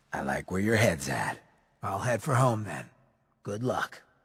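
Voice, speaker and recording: A raspy, put-on character voice with a weary tone. It moves at a moderate pace. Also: man, fairly low pitch for a man. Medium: machinima. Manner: wry, world-weary.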